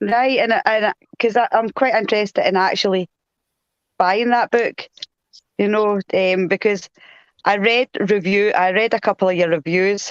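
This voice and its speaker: A woman with a strong Glasgow accent speaks at a moderate pace and medium pitch, leaving long, frequent pauses. Her intonation is fairly even, her loudness very even, and the sound is dry and close with no echo. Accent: strong Glasgow Scottish. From Scotland, Glasgow. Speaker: co-host of paranormal live show. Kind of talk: casual interview chat. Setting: live video stream.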